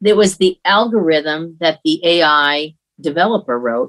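At a fairly slow pace, a woman with a fairly low pitch speaks with lively intonation. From upstate New York, near Buffalo. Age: 50s. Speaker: retired navy admiral, speaker and consultant. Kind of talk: interview conversation.

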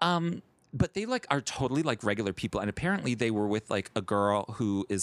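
A man with an American accent is heard on a very clean recording with a silent background and a dry, close sound with no echo. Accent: American; others think Southern. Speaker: podcast co-host. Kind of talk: casual chat. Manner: animated.

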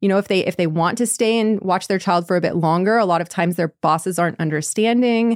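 In an American accent, a woman talks at a medium pitch with ordinary pitch variation. Her sound is dry and close, without echo. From United States. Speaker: English-learning podcast host. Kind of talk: casual chat. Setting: remote call. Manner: animated, laughs often.

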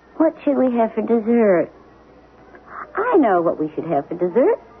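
This is a put-on character voice with a husky, rough edge. Its pitch swings very widely. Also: woman, fairly high pitch for a woman, moderate pace.

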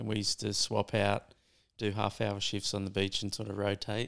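A man talks at a moderate pace in an Australian accent. The recording is very clean, with a silent background. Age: 40s. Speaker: surf filmmaker. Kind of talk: casual chat.

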